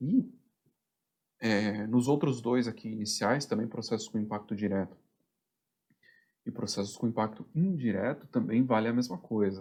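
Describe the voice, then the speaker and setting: Long, frequent pauses break up a man's dark, mellow voice. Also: medium pitch for a man, ordinary pitch variation. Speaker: production planning instructor. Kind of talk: tutorial. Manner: fast.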